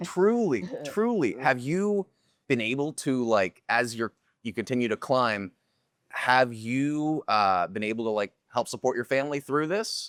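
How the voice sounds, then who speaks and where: A man with an unremarkable speaking voice at medium pitch talks at a fairly slow pace with lively intonation, recorded very cleanly against a silent background with a dry, close sound and no echo. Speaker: interview host. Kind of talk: podcast interview questions.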